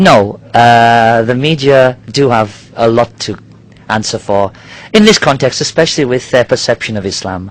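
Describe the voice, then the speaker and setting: With a British accent, a man delivers his words at a moderate pace. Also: medium pitch for a man, ordinary pitch variation. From Nigeria. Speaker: diving company worker. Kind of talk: interview. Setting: outdoors on a yacht in a marina. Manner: halting.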